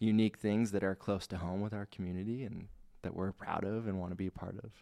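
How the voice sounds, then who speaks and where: A man's fairly low voice with a dark, mellow tone and a Pacific Northwest accent, at a fairly quick pace, on a very clean recording with a silent background. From US Pacific Northwest (Spokane, Washington). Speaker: credit union marketing director. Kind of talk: casual interview chat. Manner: energetic.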